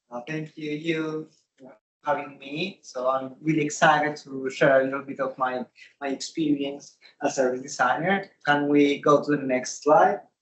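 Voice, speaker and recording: A man with a Spanish accent, fairly high in pitch, at a moderate pace with fairly even intonation. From Colombia. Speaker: service designer. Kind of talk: conference talk. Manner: halting, many fillers.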